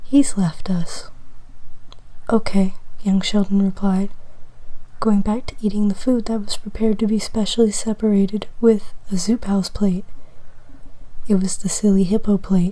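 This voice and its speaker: The speaker whispers at a moderate pace, with long, frequent pauses. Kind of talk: ASMR whispered fiction reading, comedic fanfic. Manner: whispered.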